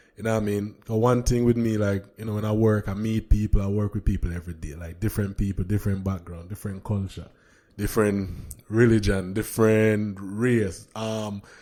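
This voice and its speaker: In a very clean recording with a silent background, a man with a strong Jamaican accent and a dark, mellow tone speaks at a fairly quick pace, his fairly low voice flat and monotone while his loudness swings widely. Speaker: podcast host. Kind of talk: casual chat.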